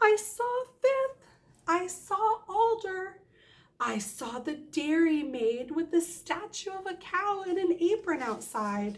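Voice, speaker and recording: A put-on character voice, squeaky and extremely high-pitched. The pace is fairly slow. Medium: read story. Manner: eager, chatty.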